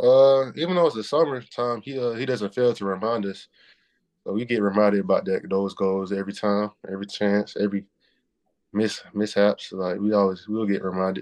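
This man speaks with a Southern US accent at a fairly low pitch. His pace is fairly quick, with ordinary pitch variation. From US Southeast. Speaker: college basketball player. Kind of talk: interview.

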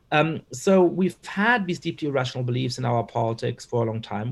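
A man at medium pitch, somewhat breathy, with lively intonation, a fairly quick pace and hardly any pauses. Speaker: political scientist and author. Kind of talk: interview.

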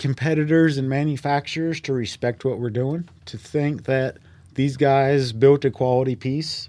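In a Southern US accent, a man speaks at a fairly slow pace with a medium pitch and a dark, mellow tone. The recording is very clean with a silent background. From North Carolina. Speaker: race car builder and driver. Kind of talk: podcast interview. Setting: studio.

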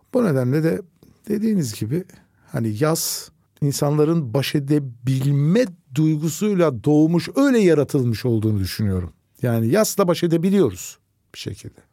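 Using very wide pitch swings, a man with a fairly high pitch and a dark, mellow tone speaks at a moderate pace in a very clean recording with a silent background. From Turkey, Nazilli (Aegean). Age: 60s. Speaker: oncologist doctor. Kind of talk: casual interview chat.

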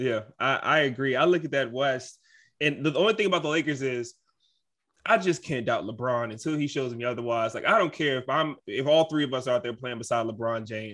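Against a quiet background, a man with a normal speaking voice and medium pitch talks at a fairly quick pace with ordinary pitch variation. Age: 20s. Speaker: basketball team insider. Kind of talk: casual chat.

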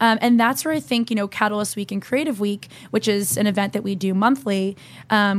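A woman with an American accent talks at a very fast pace, her medium pitch varying in an ordinary way. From New Jersey. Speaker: entrepreneur. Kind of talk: interview.

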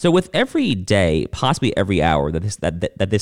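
A man with an American accent and a very deep, low pitch, at a fairly quick pace, on a very clean recording with a silent background. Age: 30s. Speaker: political podcast host. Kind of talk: solo political commentary. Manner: many fillers and restarts.

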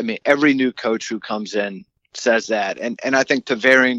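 An ordinary speaking voice from a man with an American accent, medium in pitch, with fairly even intonation. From Maryland. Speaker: sports journalist. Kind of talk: interview. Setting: phone call.

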